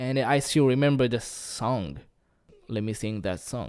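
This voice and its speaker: On a very clean recording with a silent background, a man with a medium pitch speaks at a very slow pace. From Japan. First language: Japanese. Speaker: podcaster. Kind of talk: casual monologue. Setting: home recording. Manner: halting.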